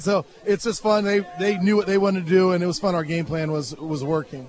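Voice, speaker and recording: Over crowd noise in the background, a man with a high pitch talks at a very fast pace with ordinary pitch variation. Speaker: high school football coach. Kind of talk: post-game interview. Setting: outdoors on a football field after a game.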